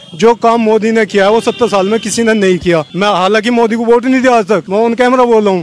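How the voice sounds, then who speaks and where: Through noticeable background noise, a man speaks at a high pitch with very even loudness and hardly any pauses. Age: 30s. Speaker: interviewee, member of public. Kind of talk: street interview. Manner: animated.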